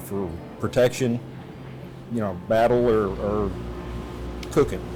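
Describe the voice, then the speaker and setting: With music in the background, a man with an American accent speaks at a fairly slow pace and a fairly low pitch. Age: 60s. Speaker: knife maker, blacksmith. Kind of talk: documentary interview. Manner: halting, many fillers.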